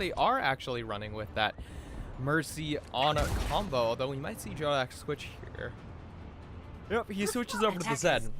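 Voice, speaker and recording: Over music in the background, the speaker uses lively intonation at a moderate pace. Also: man. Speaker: esports shoutcaster. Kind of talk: play-by-play esports commentary.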